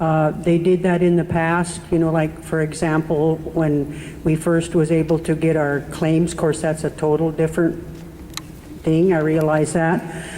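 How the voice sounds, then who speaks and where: In an American accent, a woman talks with monotone, flat intonation at a fairly low pitch over noticeable background noise. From Omak area, Washington (US Pacific Northwest). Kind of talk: public comment at community meeting. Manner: halting, hesitant.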